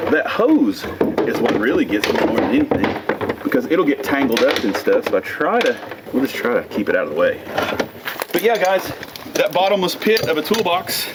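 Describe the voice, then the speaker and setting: Amid noticeable background noise, a man talks at a fairly quick pace with very even loudness and long, frequent pauses. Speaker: tow truck operator. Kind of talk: casual tutorial. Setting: outdoors.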